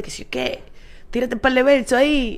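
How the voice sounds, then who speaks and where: Someone with a Dominican accent talks in an animated tone at a moderate pace. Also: woman. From Dominican Republic, Santo Domingo. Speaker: stand-up comedian and advertising worker. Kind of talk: casual chat.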